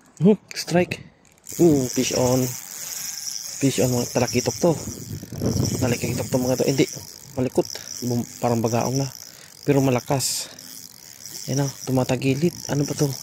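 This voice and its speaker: Over noticeable background noise, a man with a medium pitch talks at a moderate pace with fairly even intonation and long, frequent pauses. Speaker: fishing vlogger. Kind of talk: live fishing commentary. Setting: outdoors. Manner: low energy voice.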